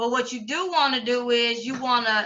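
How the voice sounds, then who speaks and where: A woman with a high, bright, sharp voice speaks at a moderate pace. Her voice is raised and projected. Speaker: trading course instructor. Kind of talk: online class tutorial.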